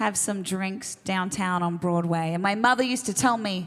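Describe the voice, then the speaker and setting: A woman with an Australian accent, medium-pitched, on a very clean recording with a silent background. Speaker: singer-songwriter. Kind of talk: stage banter between songs. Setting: stage with audience.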